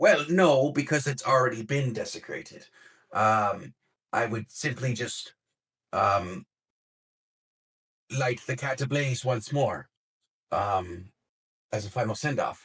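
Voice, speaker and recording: Using a raspy, put-on character voice at medium pitch, a man talks at a fairly slow pace with long, frequent pauses. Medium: actual play. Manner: hesitant, full of fillers.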